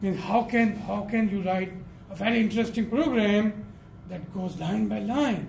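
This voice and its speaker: High-pitched male voice amid audible room echo and noticeable background noise. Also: ordinary pitch variation, moderate pace. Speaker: programming lecturer. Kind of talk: lecture. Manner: halting.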